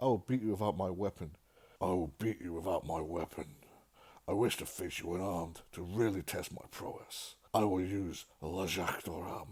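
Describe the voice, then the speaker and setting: A man's put-on character voice, raspy and very deep, at a moderate pace, on a very clean recording with a silent background. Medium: read story.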